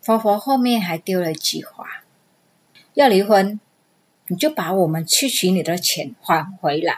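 A woman's medium-pitched voice at a very slow pace, with lively intonation. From Vietnam. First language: Vietnamese (speaking Chinese). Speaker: immigrant storyteller, amateur actress. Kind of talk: recorded personal storytelling.

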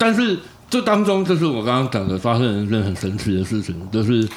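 Talking at a fairly quick pace, a man with a plain, everyday voice uses a medium pitch and lively intonation. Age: middle-aged. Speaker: podcast co-host, F1 fan. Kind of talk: casual chat.

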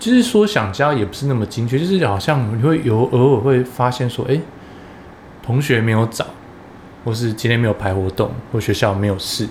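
Noticeable background noise runs behind a man speaking at a fairly quick pace. His pitch is medium, with ordinary variation. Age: middle-aged. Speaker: podcast co-host. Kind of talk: casual chat.

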